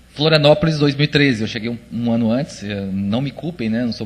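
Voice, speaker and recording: A man with a Minas Gerais accent at a fairly quick pace. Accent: mineiro (Minas Gerais). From Minas Gerais, Brazil. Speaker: conference speaker. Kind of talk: presentation talk. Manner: hesitant, many fillers.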